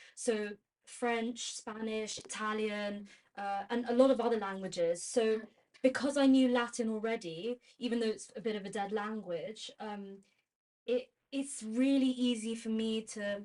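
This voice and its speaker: Speaking with a London accent, a woman has a fairly high pitch. Her pace is fairly slow. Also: fairly even intonation. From London, England. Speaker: university student. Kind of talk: casual chat.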